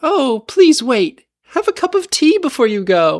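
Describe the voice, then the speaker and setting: A put-on character voice sits at a high pitch. Its pitch swings very widely. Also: moderate pace. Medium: read story.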